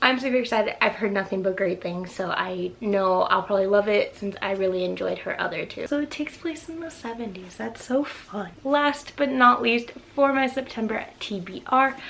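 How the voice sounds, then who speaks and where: With noticeable background noise behind her, a woman speaks at a fairly high pitch with hardly any pauses. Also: lively intonation. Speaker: book vlogger. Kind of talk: casual vlog talk. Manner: fast; animated.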